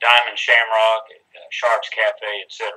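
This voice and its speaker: Speaking at a fairly slow pace, a man talks with a Texas accent. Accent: Texas twang. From Texas Hill Country. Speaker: country singer-songwriter. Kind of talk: interview. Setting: video call.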